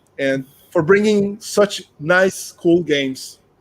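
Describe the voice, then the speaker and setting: A man with a Brazilian accent, fairly high pitch, and ordinary pitch variation. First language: Portuguese. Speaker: board game channel host. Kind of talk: interview.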